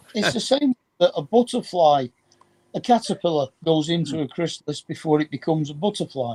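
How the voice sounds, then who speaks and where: In a Manchester accent, a man talks at a fairly quick pace and a fairly high pitch with lively intonation, the sound dry and close with no echo. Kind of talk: casual chat.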